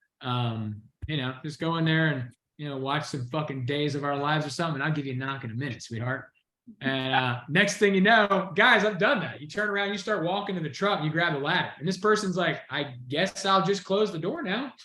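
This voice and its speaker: Speaking fairly quickly, a man uses lively intonation and a fairly high pitch. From US South, Georgia. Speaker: sales trainer. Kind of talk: training session on a video call. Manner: fast, pitchy; animated.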